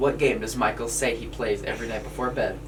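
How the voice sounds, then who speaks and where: The speech moves at a fairly quick pace, with noticeable background noise and audible room echo. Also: man. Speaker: podcast co-host. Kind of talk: casual chat. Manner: fast.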